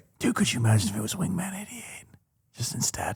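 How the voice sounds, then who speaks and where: A man whispers in a raspy, put-on character voice at a very fast pace. His loudness swings widely. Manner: whispering.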